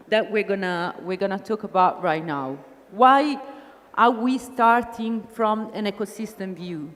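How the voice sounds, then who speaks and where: A woman's fairly high voice in an Italian accent, with lively intonation at a moderate pace. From Italy. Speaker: business consultant, conference speaker. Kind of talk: conference talk. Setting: stage with audience.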